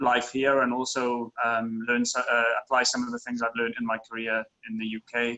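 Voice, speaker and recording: A man speaks at a medium pitch. He has a strong Welsh accent. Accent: very Welsh. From Wales. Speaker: tech industry professional, former consultant. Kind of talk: interview. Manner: hesitant, many fillers.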